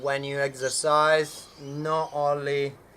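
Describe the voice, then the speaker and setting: Over noticeable background noise, a man with a non-native accent and a fairly high pitch speaks at a very slow pace. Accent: foreign. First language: not English. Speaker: fitness coach. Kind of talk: tutorial. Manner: halting, many fillers.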